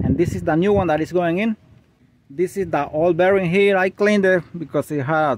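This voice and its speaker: A man speaks at a high pitch. The sound is dry, with no echo. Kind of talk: tutorial. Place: street. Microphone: phone near.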